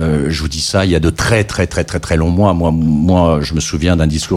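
At a moderate pace, the speech keeps fairly even intonation. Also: man. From France, Loir-et-Cher. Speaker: electronic music scene veteran and jury member. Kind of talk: radio interview. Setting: radio studio.

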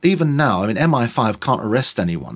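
Here a man speaks with a London accent at a fairly quick pace. His intonation is lively. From East London. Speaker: tour guide. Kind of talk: casual chat.

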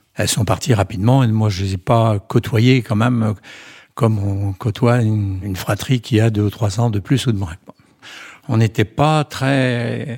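A man's somewhat breathy, fairly low voice with ordinary pitch variation, fairly slow, in a dry, close sound with no echo. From Brittany, France. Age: 80s+. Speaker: retired grandfather. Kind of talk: testimony. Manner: halting.

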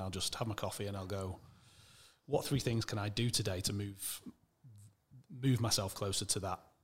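Speaking very fast with fairly even intonation, a man with a Mancunian accent uses a fairly low pitch on a very clean recording with a silent background. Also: long, frequent pauses. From Manchester, England. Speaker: e-commerce entrepreneur. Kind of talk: interview conversation.

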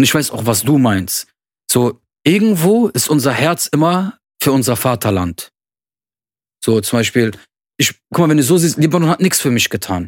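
Moderate pace with very wide pitch swings and long, frequent pauses, in a very clean recording with a silent background and a dry, close sound with no echo. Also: man, fairly high pitch for a man. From Germany, Lebanese family. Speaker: podcast co-host. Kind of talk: casual chat.

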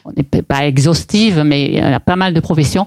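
Her voice very deep and low, a woman speaks at a moderate pace with a dark, mellow tone and ordinary pitch variation. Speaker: property developer. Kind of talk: interview. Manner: hesitant, many fillers and repetitions.

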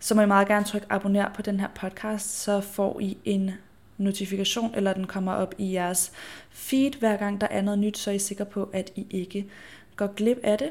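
A woman speaks at medium pitch and a moderate pace. Her intonation is monotone and flat, and her voice is somewhat breathy. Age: 20s. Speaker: podcast host and influencer. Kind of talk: solo casual monologue.

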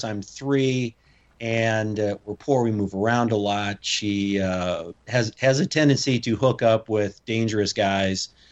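This man has a normal speaking voice with a fairly low pitch. His intonation stays fairly even. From US Midwest. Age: 50s. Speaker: former SWAT commander and strongman. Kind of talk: interview conversation.

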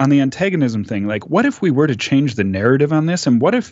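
This man has a medium pitch and an Upper Midwest accent. His intonation is lively. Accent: Upper Midwest American. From US Midwest, Minneapolis. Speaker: podcast panelist. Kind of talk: casual discussion.

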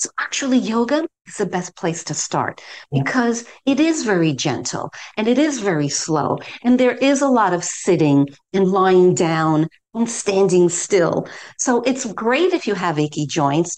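Her pitch medium but swinging very widely, a woman speaks at a fairly slow pace. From US, New York City. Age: 60s. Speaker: yoga teacher. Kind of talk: interview.

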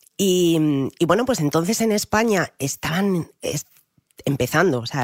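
A moderate speed captured on a very clean recording, silent in the background. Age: 30s. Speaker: personal trainer and triathlete. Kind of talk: interview.

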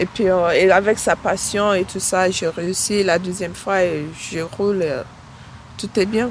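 A woman's very slow delivery with fairly even intonation. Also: medium pitch for a woman. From Nigeria. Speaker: cycling workshop participant, mother. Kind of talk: interview testimony.

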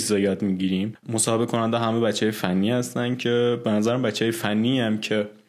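This voice is a man's. It sits at a medium pitch. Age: 20s. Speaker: backend developer. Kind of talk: interview.

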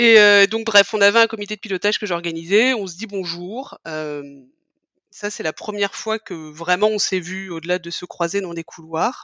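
A woman speaks with medium pitch and ordinary pitch variation. Her pace is moderate and her loudness swings widely. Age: 40s. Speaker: podcast guest sharing her love story. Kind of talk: casual interview, personal storytelling. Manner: hesitant, many fillers and repetitions.

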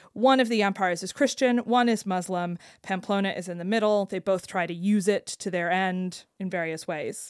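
A woman with an ordinary speaking voice talks at a moderate pace with hardly any pauses. Her pitch varies in an ordinary way, and the recording is very clean with a silent background. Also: medium pitch for a woman. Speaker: podcast co-host. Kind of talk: casual chat.

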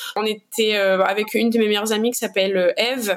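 A woman's voice amid noticeable background noise. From Réunion, east (Saint-Benoît). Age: 20s. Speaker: activist, association co-founder. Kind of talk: interview conversation. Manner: hesitant, many fillers.

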